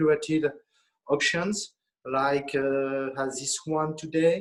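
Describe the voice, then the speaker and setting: A man talks with a French accent. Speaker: auction house director. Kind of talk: casual chat. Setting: auction house. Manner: halting.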